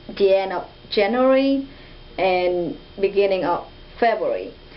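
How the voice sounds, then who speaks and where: A woman speaks at a fairly slow pace with ordinary pitch variation. Audible room echo and noticeable background noise surround her voice. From Vietnam. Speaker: international student. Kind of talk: interview. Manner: halting.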